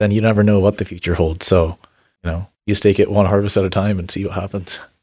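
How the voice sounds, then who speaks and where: A man with an American accent and a plain, everyday voice, fairly low in pitch, at a fairly quick pace with fairly even intonation, on a very clean recording with a silent background. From Washington State, US Pacific Northwest. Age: young. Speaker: berry farmer. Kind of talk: casual interview.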